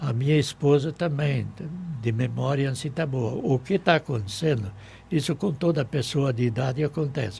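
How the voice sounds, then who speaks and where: This man's voice is somewhat breathy and fairly high, and he keeps a moderate pace. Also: ordinary pitch variation. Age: 80s+. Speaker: town pioneer. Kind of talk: radio interview. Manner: short of breath.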